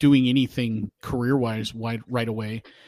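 In a very clean recording with a silent background and a dry, close sound with no echo, a man with an American accent uses an ordinary speaking voice and fairly even intonation. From hometown in the US. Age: 40s. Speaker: police officer. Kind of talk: casual chat.

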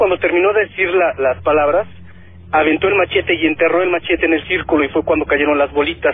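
Music in the background plays under speech delivered at a fairly quick pace. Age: 30s. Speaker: caller. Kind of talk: testimony. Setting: phone call.

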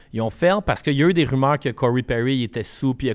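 With a Quebec accent, a man talks at a fairly quick pace with ordinary pitch variation. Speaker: podcast co-host, media entrepreneur. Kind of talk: casual chat.

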